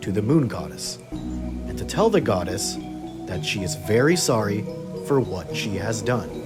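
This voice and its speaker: A man talks at a moderate pace with music playing in the background. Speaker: narrator. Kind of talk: folktale narration.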